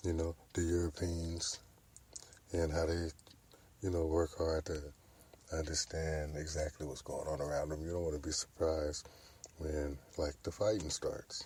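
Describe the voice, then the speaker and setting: A man with a very deep, low pitch and a dark, mellow tone, somewhat breathy, monotone and flat, with long, frequent pauses. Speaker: podcast host. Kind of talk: casual monologue. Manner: slow.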